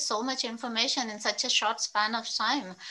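Over light background noise, a woman speaks with a bright, sharp tone. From Andhra Pradesh, Krishna district village near Vijayawada; Andhra Pradesh. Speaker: interview moderator. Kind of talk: interview. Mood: warm, friendly. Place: home room. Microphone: earbuds.

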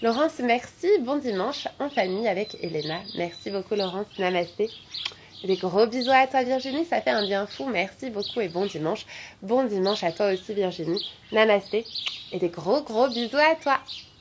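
Over noticeable background noise, a woman speaks at a fairly high pitch with lively intonation. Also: moderate pace. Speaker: yoga teacher and physiotherapist; yoga teacher. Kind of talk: guided yoga class; reading out live chat comments. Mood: warm, cheerful. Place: garden. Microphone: phone near.

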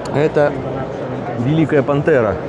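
Dry, echo-free sound of a man speaking, loud background noise behind him. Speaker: aviation hobbyist vlogger. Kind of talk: casual vlog commentary. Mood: amused, enthusiastic. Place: hall. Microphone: phone near.

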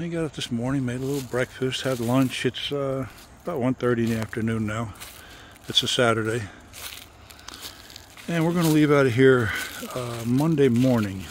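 A man's moderate pace with long, frequent pauses and ordinary pitch variation, in a dry sound with no echo amid light background noise. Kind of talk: casual vlog chat. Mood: relaxed, leisurely. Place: open country. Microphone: phone near.

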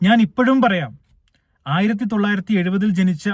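Here a man speaks with ordinary pitch variation. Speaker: YouTuber. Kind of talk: monologue commentary.

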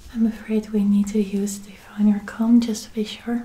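Whispering, a woman speaks softly. Her pace is fairly slow. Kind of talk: soft-spoken ASMR roleplay. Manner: soft close ASMR whisper. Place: home room. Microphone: earbuds.

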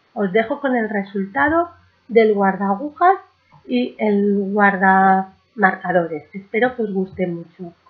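Slowly, a woman talks at a medium pitch with ordinary pitch variation and a slightly husky edge.

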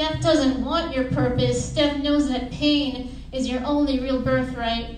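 Very slowly, a woman speaks at a high pitch with monotone, flat intonation, in a room with audible echo and light background noise. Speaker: poet and student; poet. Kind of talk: poetry reading. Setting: stage with audience. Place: hall. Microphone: camera far.

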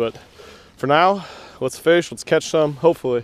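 The sound is dry, with no echo. A man talks with lively intonation. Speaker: angler vlogger. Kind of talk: casual vlog chat. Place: boat. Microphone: helmet.

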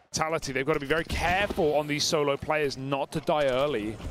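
The tone is animated, with noticeable background noise behind it. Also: man. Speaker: esports caster. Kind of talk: live esports commentary. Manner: fast-paced, animated play-by-play.

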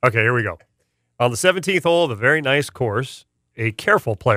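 Over a quiet background comes a natural reading voice.

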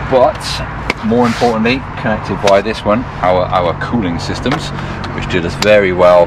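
Loud background noise surrounds a man speaking at a moderate pace with ordinary pitch variation in a dry sound with no echo. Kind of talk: casual tour explanation. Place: car. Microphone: camera far.

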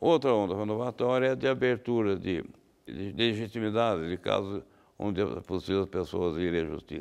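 A man with vocal fry speaks at a moderate pace. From Brazil, São Paulo state (Guaratinguetá); São Paulo state, Brazil. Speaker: law professor and lawyer; law professor, lawyer. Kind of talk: interview. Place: studio. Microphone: lapel.

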